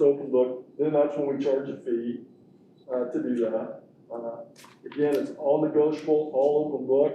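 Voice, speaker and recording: Over noticeable background noise and audible room echo, a man with an American accent talks at a moderate pace in a fairly high pitch, his intonation monotone and flat. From Kansas, Sumner County. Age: 60s. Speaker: construction management contractor. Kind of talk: presentation to school board. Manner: halting, many fillers.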